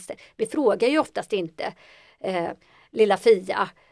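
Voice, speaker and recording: In a very clean recording with a silent background, a woman's fairly high voice comes through dry and close, with no echo. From Ethiopia (adopted to Sweden). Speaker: psychologist. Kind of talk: interview.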